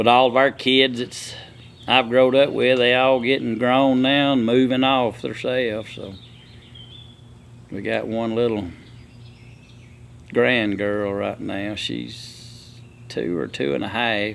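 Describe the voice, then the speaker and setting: A man with a rural Southern US accent speaks at a very slow pace and a medium pitch. His intonation is fairly even, with long, frequent pauses. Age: 60s. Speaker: logger and sawmill owner. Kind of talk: casual chat.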